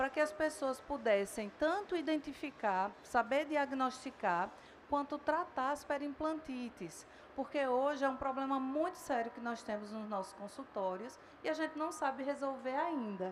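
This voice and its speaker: In a northeastern Brazilian accent, a woman talks at a fairly slow pace with a high pitch and ordinary pitch variation. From Northeast Brazil. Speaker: dentistry professor. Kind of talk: lecture.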